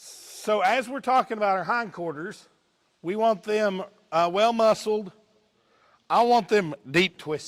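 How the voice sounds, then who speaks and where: A man with an Eastern Kentucky accent talks at a fairly slow pace, with long, frequent pauses. His pitch is high, with ordinary variation. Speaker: livestock judge. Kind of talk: demonstration talk. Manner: casual.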